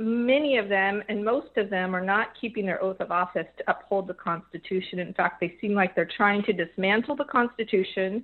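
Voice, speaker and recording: A woman speaks at a moderate pace with an American accent and an unremarkable speaking voice. Her pitch is medium, with ordinary variation. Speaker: radio caller. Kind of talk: call-in radio question. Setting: phone call.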